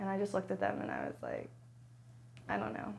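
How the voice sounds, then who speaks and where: A woman speaks with audible room echo around her voice. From US, Arlington Virginia. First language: American Sign Language. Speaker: trauma survivor sharing her story. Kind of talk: personal testimony interview.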